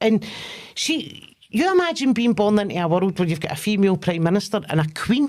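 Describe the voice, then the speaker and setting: A woman with a Glaswegian accent speaks at a moderate pace, fairly high in pitch with very wide pitch swings, on a very clean recording with a silent background. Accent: Glaswegian Scottish. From Scotland, Lanarkshire near Glasgow. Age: 40s. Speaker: comedian. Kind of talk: casual chat.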